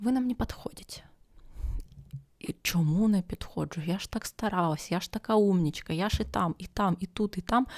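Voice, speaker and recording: A soft-spoken woman's whispering, somewhat breathy and moderately paced, in a dry, close sound with no echo. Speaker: ASMR podcaster. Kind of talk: ASMR podcast talk for sleep. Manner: half-whispered, soft.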